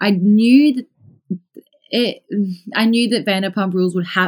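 A woman speaks in an Australian accent at a moderate pace. Her pitch variation is ordinary, and the recording is very clean with a silent background. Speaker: podcast listener. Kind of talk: casual chat.

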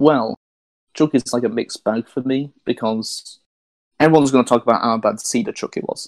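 A man with a normal speaking voice at medium pitch talks at a fairly quick pace, with ordinary pitch variation and a dry, close sound with no echo. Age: 20s. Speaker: podcast co-host. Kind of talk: casual chat.

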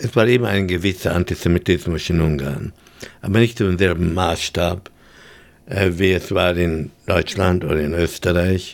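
A man with a very deep, low pitch talks at a moderate pace with ordinary pitch variation. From Vienna, Austria and Hungary. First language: English in daily life, German rusty (speaking German). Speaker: Holocaust survivor. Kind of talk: testimony. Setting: studio.

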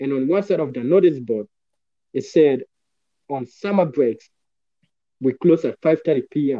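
A man's fairly high voice with a dark, mellow tone and ordinary pitch variation, at a fairly slow pace with long, frequent pauses, dry and close with no echo. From Uganda, raised in Australia from age 10. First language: not English. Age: 20s. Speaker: motivational speaker. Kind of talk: interview. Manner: talkative.

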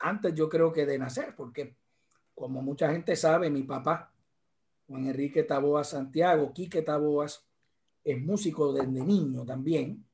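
A somewhat breathy man with a fairly high pitch and ordinary pitch variation talks at a very slow pace, leaving long, frequent pauses. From Puerto Rico, Arecibo. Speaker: judge and guitarist. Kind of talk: interview.

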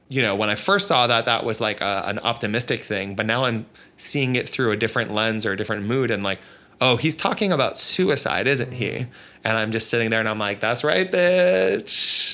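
A man speaks at a fairly quick pace with a bright, sharp tone. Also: medium pitch for a man, lively intonation. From Canada (Toronto). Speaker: artist and author. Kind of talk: casual interview.

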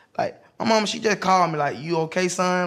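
Speaking at a moderate pace, a man with a high pitch talks with a Southern US accent. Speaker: street water vendor. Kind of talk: casual chat.

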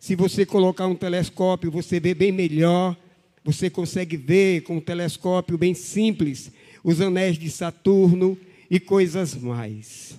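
A man with a high pitch and a dark, mellow tone speaks at a fairly slow pace with ordinary pitch variation in a very clean recording with a silent background. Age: 60s. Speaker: pastor. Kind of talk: sermon.

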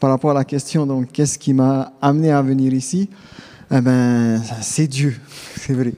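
A man talks at a very slow pace, with long, frequent pauses. His loudness stays very even and his intonation fairly even. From Tahiti. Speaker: theology student. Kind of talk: testimony. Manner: halting.

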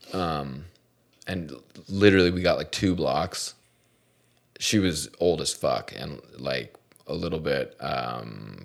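Speaking at a very slow pace with long, frequent pauses, a man uses a very deep, low voice with vocal fry. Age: 40s. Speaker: podcast host, professional driver. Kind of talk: casual chat. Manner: animated.

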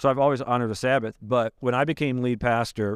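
A plain, everyday voice from a man, fairly quick and with fairly even intonation, in a dry, close sound with no echo and a very clean recording with a silent background. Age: 40s. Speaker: pastor. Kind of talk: casual chat.

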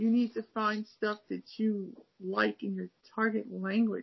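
A woman with an American accent speaks at a medium pitch, sounding somewhat breathy. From Cleveland, Ohio. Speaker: podcast host, language learner. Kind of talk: casual interview chat. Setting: video call.

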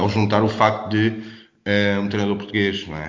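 Audible room echo fills this recording. The speaker is a man. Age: 30s. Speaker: basketball coach. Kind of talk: interview. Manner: halting.

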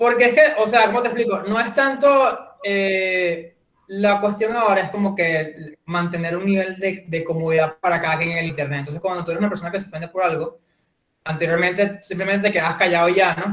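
With a Venezuelan accent, a man talks at a fairly quick pace, his pitch high and his pitch variation ordinary. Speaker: podcast guest. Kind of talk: casual chat.

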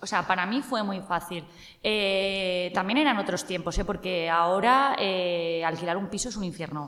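A woman at medium pitch talks at a moderate pace, her pitch varying in an ordinary way, as noticeable background noise sits behind her. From Spain, Cuenca. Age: 30s. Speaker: journalist. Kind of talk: casual interview.

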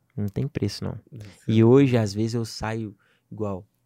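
Very slowly, a man speaks with a fairly low pitch and a dark, mellow tone in a very clean recording with a silent background. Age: 20s. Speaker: digital marketing entrepreneur. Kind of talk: casual chat.

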